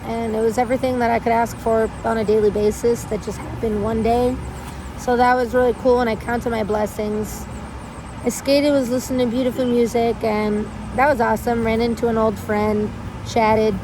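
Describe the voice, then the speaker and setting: Over noticeable background noise, a woman with a fairly high pitch talks at a fairly quick pace in a monotone, flat intonation. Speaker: vlogger. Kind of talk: personal vlog monologue. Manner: casual, filler-heavy.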